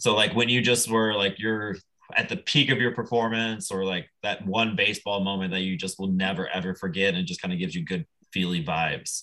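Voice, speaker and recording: Fairly quick American-accented speech from a man, fairly low in pitch, with ordinary pitch variation. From US Midwest, Nebraska. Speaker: podcast host. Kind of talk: casual chat.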